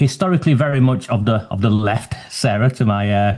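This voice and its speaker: Speaking in a Lancashire accent, a man has a dark, mellow tone and a fairly low pitch. His pace is fairly quick against a quiet background. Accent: northern English (Lancashire). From northwest England, Oldham. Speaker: human rights advocate. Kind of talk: interview.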